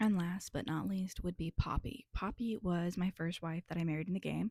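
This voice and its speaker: A woman with a fairly low pitch and a somewhat breathy voice talks at a moderate pace with ordinary pitch variation. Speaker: digital artist. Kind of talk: casual art commentary over timelapse. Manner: hesitant, many fillers.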